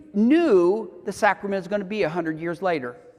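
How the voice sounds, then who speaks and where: A man's animated tone with very wide pitch swings. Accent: Southern US. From US South. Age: 60s. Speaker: homesteading teacher. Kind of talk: lecture.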